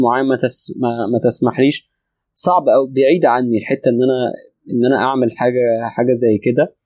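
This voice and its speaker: Dry and close with no echo, the voice has a dark, mellow tone and an Egyptian accent, moving at a moderate pace over a quiet background. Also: man. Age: 30s. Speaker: spiritual teacher. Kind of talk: interview. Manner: calm; pauses often.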